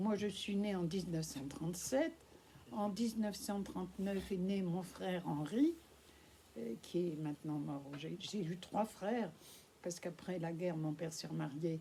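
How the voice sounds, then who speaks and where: Somewhat breathy, a woman speaks at a fairly low pitch with ordinary pitch variation. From France. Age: 80s+. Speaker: Holocaust witness speaking at schools. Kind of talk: testimony to school pupils. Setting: school classroom with pupils.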